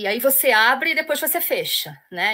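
A woman with a Carioca accent speaks in a bright, sharp tone at a moderate pace, her intonation lively. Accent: carioca, with the hissing sh sound. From Rio de Janeiro city. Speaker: literature professor. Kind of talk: lecture. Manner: hesitant, with repeated fillers.

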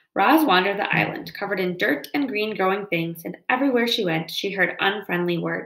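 Here is a natural reading voice. It is a natural reading voice throughout.

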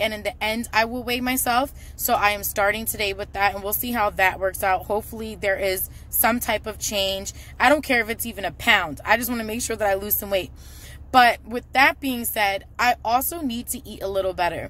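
A woman speaks at a fairly quick pace in a bright, sharp tone, with ordinary pitch variation and a dry sound with no echo. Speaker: vlogger. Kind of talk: casual vlog chat. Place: car. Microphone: phone near.

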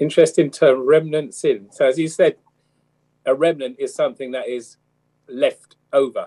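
A man speaks against a quiet background, with long, frequent pauses. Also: moderate pace. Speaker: church elder on Bible study panel. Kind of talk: Bible study discussion. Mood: warm, smiling. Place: home room. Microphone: webcam.

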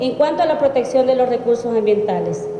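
A woman with a Salvadoran accent speaks amid audible room echo and light background noise. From El Salvador. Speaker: opposition party politician. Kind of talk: press statement. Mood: serious, critical. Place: hall. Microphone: podium.

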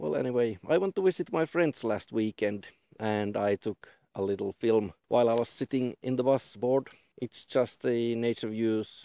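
Lively intonation and a dark, mellow tone come through at a moderate pace, with a dry sound free of echo and a quiet background. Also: man. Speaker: vlogger. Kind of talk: casual vlog chat. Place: open country.

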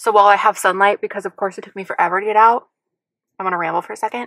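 A woman at a very fast pace, in a dry sound with no echo over a quiet background. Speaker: vlogger. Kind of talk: casual vlog chat. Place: car. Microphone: phone near.

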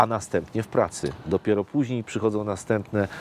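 A fairly low-pitched man at a fairly quick pace, in a dry sound with no echo and light background noise. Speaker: interview guest. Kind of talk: interview answer. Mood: calm, reflective. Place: street.

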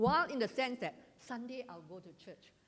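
A woman speaks at a fairly slow pace with a Malaysian accent. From Malaysia, Johor (Segamat); Johor, Malaysia. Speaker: retired teacher giving church testimony. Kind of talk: testimony. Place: hall.

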